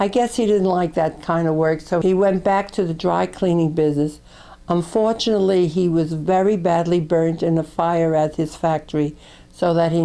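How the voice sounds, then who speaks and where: In a New York accent, a woman speaks at a moderate pace with a dark, mellow tone, fairly low pitch, fairly even intonation and very even loudness. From New York, Brooklyn. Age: 80s+. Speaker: grandmother recording family memories. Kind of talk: memoir narration.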